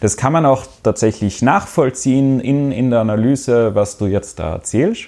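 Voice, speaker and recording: A man with a dark, mellow tone and medium pitch speaks with ordinary pitch variation and hardly any pauses. The recording is very clean, with a silent background. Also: moderate pace. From Austria. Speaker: social media analyst. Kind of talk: casual chat.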